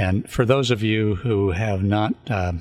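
A man speaks in a Californian accent. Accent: Californian American. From US, California (San Luis Obispo County). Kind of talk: scripted show introduction; radio interview. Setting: radio studio.

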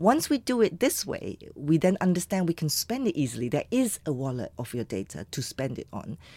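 A woman's fairly low, dark, mellow voice with vocal fry and very wide pitch swings, fairly quick with hardly any pauses, on a very clean recording with a silent background. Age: 50s. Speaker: economist and entrepreneur, professor. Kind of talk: interview. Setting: studio.

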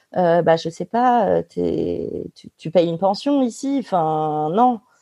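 Her pace is very slow, with lively intonation. This woman speaks at a medium pitch against a quiet background. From Paris suburbs, France. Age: 30s. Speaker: lawyer. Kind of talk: casual interview. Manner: halting, frequent repetitions.

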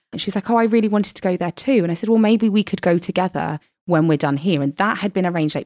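Heard with a British accent, this voice comes through on a very clean recording with a silent background and a dry, close sound that has no echo. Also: woman. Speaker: podcaster and blogger. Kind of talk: personal storytelling interview.

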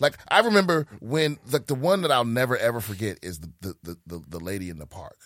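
On a very clean recording with total silence behind him, a man talks fairly quickly. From Prince George's County, Maryland. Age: 40s. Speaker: comedian. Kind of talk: casual chat. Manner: halting.

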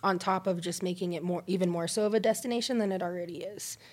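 In a General American accent, a woman talks at a fairly quick pace in an ordinary speaking voice, medium in pitch with ordinary pitch variation. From Colorado. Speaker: executive chef. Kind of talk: casual interview.

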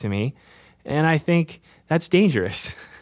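Lively intonation runs through a man's normal speaking voice, fairly high in pitch, in a very clean recording with a silent background. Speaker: parent, friend of host. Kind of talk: casual interview.

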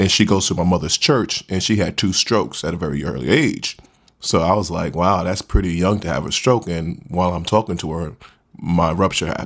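Vocal fry at a fairly quick pace, with ordinary pitch variation. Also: man, very deep, low pitch for a man. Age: 40s. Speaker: stroke survivor, former truck driver. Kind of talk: interview.

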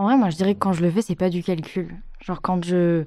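The voice has a dark, mellow tone and fairly even intonation. It moves at a fairly quick pace. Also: woman. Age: 20s. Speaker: young interviewee. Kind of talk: casual chat.

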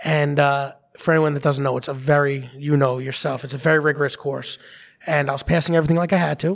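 A man with a New York accent talks at a very fast pace, his fairly high pitch held in a fairly even intonation. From Staten Island, New York. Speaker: police officer, advocacy group founder. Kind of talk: interview.

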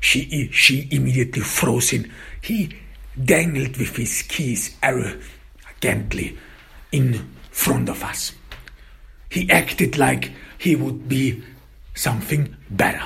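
With audible room echo around him, a man speaks slowly at medium pitch, his bright, sharp tone showing vocal fry and ordinary pitch variation.

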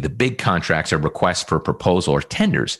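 Speaking very fast with vocal fry, a man with a Nova Scotian accent comes through on a very clean recording with a silent background. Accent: Nova Scotian Canadian English. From Atlantic Canada, Halifax, Nova Scotia. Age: 40s. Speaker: entrepreneur and real estate investor. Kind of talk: interview.

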